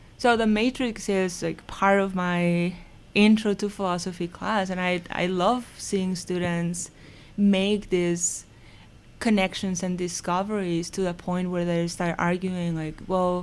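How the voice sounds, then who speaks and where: A woman's medium-pitched voice in a Mexican accent, with monotone, flat intonation at a fairly slow pace. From Mexico, Mazatlan, Sinaloa. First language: Spanish. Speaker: philosophy professor. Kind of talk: casual interview chat.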